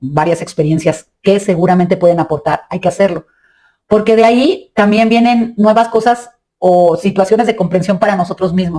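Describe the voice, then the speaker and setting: A woman's medium-pitched voice with a dark, mellow tone, ordinary pitch variation and a moderate pace. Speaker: spiritual podcast host. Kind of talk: reflective monologue. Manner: halting.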